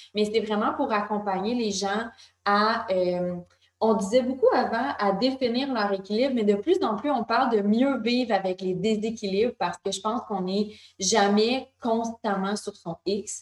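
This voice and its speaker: Using an ordinary speaking voice, a woman talks at a fairly slow pace with a fairly high pitch and fairly even intonation. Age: 20s. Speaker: wellness magazine co-founder. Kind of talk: interview conversation.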